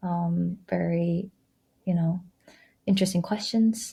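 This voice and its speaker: A woman with a Korean accent speaks in a fairly low pitch with a dark, mellow, somewhat breathy tone on a very clean recording with a silent background. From Korea (Seoul). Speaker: former journalist, business school student. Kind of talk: casual chat.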